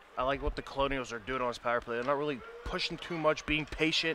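A man speaks with fairly even intonation against noticeable background noise. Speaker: color commentator. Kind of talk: live commentary. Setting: arena broadcast. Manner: uses many fillers.

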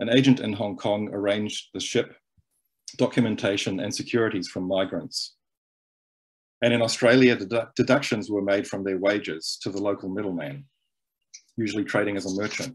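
A man with an unremarkable speaking voice has a fairly low pitch and ordinary pitch variation as he talks against a quiet background. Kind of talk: lecture. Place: home room. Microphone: webcam.

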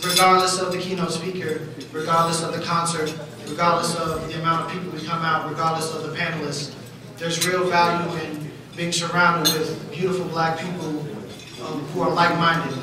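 A voice speaks at a fairly quick pace in a flat monotone, with strong room echo and noticeable background noise. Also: man, high pitch for a man. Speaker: event host. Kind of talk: formal welcome speech. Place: hall.

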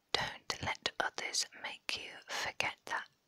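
Whispering at a very slow pace, a woman speaks. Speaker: ASMR creator. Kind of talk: ASMR whispering, reading quotes. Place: home room. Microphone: lapel.

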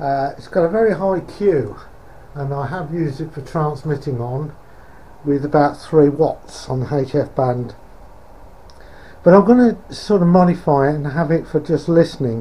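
The speech moves at a moderate pace. Long pauses break it up often. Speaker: radio hobbyist. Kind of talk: casual vlog chat. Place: garage. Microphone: phone near.

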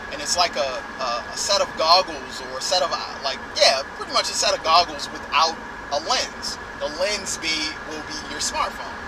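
Through noticeable background noise, a man talks at a moderate pace with ordinary pitch variation, the sound dry with no echo. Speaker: tech vlogger. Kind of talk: casual vlog chat. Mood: enthusiastic. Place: car. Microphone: phone near.

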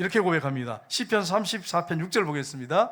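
Lively intonation and an animated tone carry speech at a moderate pace on a very clean recording with a silent background. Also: man. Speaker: pastor. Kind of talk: sermon.

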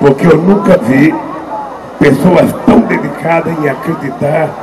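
With music playing in the background, a man speaks at a fairly slow pace. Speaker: politician addressing rally. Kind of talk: political speech. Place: stage. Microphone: handheld.

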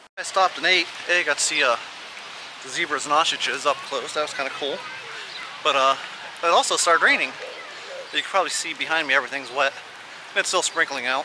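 A man talking at a very fast pace with fairly even intonation, dry sound with no echo, and noticeable background noise. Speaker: vlogger. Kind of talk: casual vlog chat. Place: street. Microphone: phone near.

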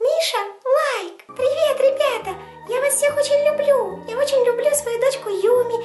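Over clear music in the background, a woman does a put-on character voice at a moderate pace in an extremely high pitch.

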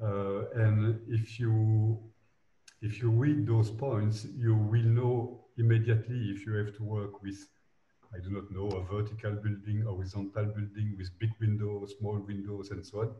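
With audible room echo around him, a man speaks at a fairly slow pace in a fairly low pitch, his tone dark, mellow and somewhat breathy, his intonation monotone and flat. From Belgium. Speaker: architect. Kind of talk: interview. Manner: halting. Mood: reflective, calm. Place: office. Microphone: video call.

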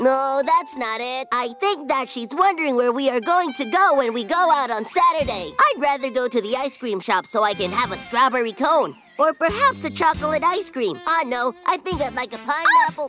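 Over clear background music, a high-pitched cartoonish character voice talks at a moderate pace. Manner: excitable, chatty, boastful.

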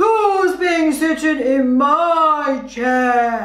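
A put-on character voice growls at a high pitch, with audible echo. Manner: growling.

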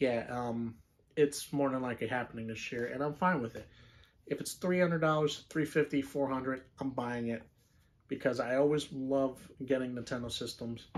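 Here a man talks at a fairly slow pace. His medium pitch follows a fairly even intonation. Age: 20s. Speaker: gaming YouTuber. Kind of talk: casual monologue. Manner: hesitant with fillers. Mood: relaxed opinionated chat. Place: home room. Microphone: phone near.

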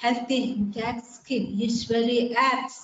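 A woman speaks at a very slow pace. Light background noise and audible room echo can be heard. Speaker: microbiology teacher. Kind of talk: lecture. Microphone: webcam.

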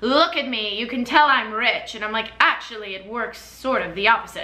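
A woman with an American accent speaks in an animated tone at a fairly high pitch. Her pitch variation is ordinary, and there is audible room echo. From US Midwest, Chicago suburbs; Illinois. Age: 20s. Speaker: YouTuber and performer; YouTuber. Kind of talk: casual chat to camera, product reviews. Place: home room. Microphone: camera far.

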